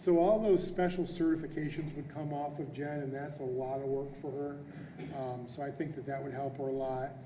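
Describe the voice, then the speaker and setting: Against noticeable background noise and audible room echo, a man speaks at a fairly high pitch with fairly even intonation. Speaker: school superintendent. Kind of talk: board meeting presentation. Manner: fast.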